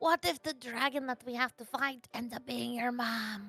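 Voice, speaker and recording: A woman speaks in a put-on character voice with a high pitch. Her pace is moderate, with music in the background. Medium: actual play.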